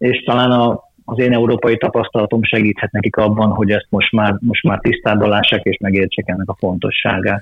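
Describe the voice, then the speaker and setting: A man at a fairly quick pace. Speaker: football coach and federation official. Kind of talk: interview. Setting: remote call. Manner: halting, with frequent repeated words.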